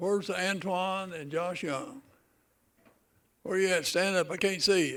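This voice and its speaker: High-pitched man with a western North Carolina accent, a fairly slow pace and long, frequent pauses. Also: ordinary pitch variation. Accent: Southern US (western North Carolina). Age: 70s. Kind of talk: ceremony speech. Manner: casual, joking.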